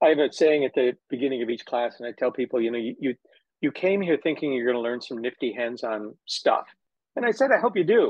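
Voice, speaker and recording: This is a plain, everyday voice of a man at a medium pitch. He talks at a fairly quick pace with ordinary pitch variation. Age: 60s. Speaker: physical therapist and educator. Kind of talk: casual interview chat.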